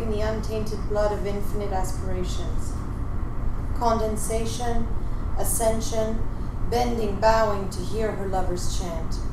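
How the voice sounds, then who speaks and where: A woman at a fairly slow pace, with audible room echo and noticeable background noise. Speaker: open mic poet. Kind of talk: poetry reading. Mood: slow, dramatic, measured delivery. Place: cafe. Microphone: handheld.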